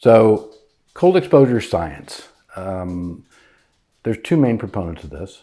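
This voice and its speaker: A man with a fairly low voice speaks at a fairly slow pace, leaving long, frequent pauses. His pitch swings very widely. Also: very clean recording, silent background. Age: 60s. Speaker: doctor, spouse of host. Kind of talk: casual explanatory chat. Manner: hesitant, filler words.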